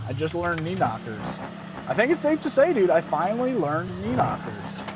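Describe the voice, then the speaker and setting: The speaker talks at a moderate pace with an American accent over noticeable background noise. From American Midwest.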